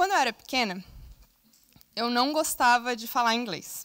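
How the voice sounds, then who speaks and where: A bright, sharp tone with ordinary pitch variation. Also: woman. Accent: Brazilian. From southern Brazil. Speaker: scout, invited speaker. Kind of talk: conference talk. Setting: stage with audience.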